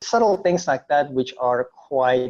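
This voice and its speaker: Speaking with an American accent, a man uses a medium pitch, a moderate pace and ordinary pitch variation. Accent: sounds foreign when speaking Indonesian. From Indonesia, raised in the US from age nine. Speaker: entrepreneur and former photojournalist. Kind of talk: interview.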